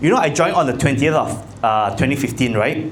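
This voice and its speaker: With a Malaysian accent, a man talks over noticeable background noise, and audible room echo fills the recording. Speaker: insurance agency leader. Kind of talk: motivational talk. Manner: loud.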